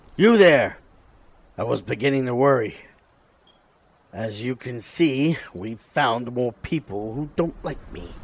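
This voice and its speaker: Using a put-on character voice, a raspy man at medium pitch talks at a fairly slow pace with long, frequent pauses. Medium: machinima. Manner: casual, wry.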